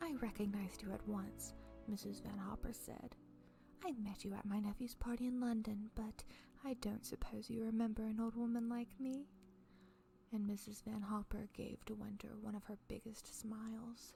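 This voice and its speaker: With music behind her, a soft-spoken woman talks at a fairly high pitch with fairly even intonation. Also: moderate pace. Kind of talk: audiobook reading.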